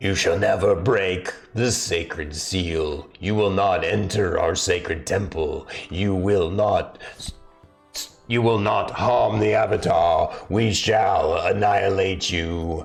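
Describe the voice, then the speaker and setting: Faint music plays behind a man doing a put-on character voice at a fairly low pitch and a fairly slow pace. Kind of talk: game master narrating to players. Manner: menacing, threatening, ominous.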